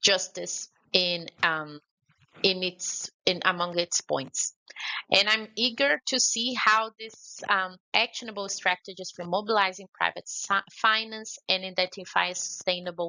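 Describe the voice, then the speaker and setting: A woman with a Brazilian accent speaks at a medium pitch and a fairly slow pace. Her pitch variation is ordinary. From Brazil, Belo Horizonte. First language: Portuguese. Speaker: conference speaker on climate finance. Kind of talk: conference speech. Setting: remote address to a forum.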